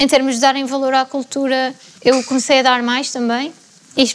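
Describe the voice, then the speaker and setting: A woman's high voice holds a monotone, flat intonation at a medium tempo. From central Portugal, Fátima area. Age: 20s. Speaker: environmental scientist. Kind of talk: panel discussion.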